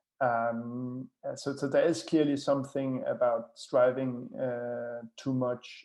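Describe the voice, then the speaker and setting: A man speaks with a Danish accent. His pace is fairly slow. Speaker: author. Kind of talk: webinar talk. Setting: live online stream. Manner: hesitant with many fillers and repetitions.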